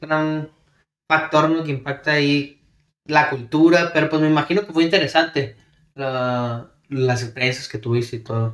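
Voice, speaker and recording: A man talks at a fairly slow pace in a plain, everyday voice, fairly high in pitch with ordinary pitch variation. The recording is very clean, with a silent background. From El Paso / Ciudad Juárez border. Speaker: podcast co-host. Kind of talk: casual chat.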